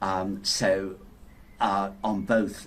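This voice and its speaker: A man speaks with a Yorkshire accent and a very deep, low pitch. Room echo is audible. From Yorkshire, northern England. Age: 60s. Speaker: inventor. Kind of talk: interview. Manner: hesitant, many repetitions and fillers.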